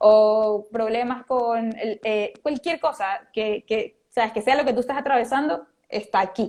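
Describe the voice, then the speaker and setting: Hardly pausing, a woman speaks at a fairly slow pace and fairly high pitch with ordinary pitch variation. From Venezuela. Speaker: motivational speaker and author. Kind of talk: interview. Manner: animated.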